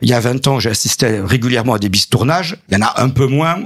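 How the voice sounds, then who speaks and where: A man at a medium pitch talks fairly quickly while noticeable background noise carries on. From southern France, Montpellier area. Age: 50s. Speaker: local politician, mayor. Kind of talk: radio interview.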